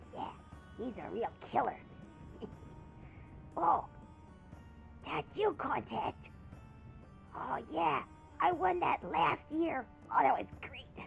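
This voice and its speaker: A put-on character voice with a fairly high pitch moves at a fairly slow pace, broken by long, frequent pauses, while clear music plays in the background. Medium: role play. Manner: exasperated, bossy.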